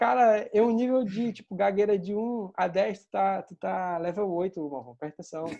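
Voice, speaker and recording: A man's high-pitched, dark, mellow voice at a moderate pace, with ordinary pitch variation and big swings in loudness. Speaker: UI designer giving a talk. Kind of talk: casual chat. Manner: halting, repetitive.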